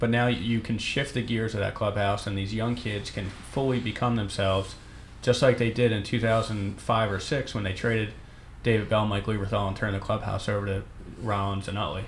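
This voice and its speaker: Speaking at a fairly quick pace with a Philadelphia accent, the man has a fairly low pitch and a monotone, flat intonation. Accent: Philadelphia, noticeable. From Northeast Philadelphia. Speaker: baseball beat writer. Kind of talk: casual sports talk chat.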